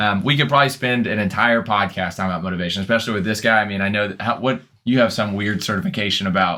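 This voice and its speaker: A loud man speaks at a very fast pace with hardly any pauses. His bright, sharp tone sits at a fairly low pitch with ordinary pitch variation. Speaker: personal trainer. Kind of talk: casual chat.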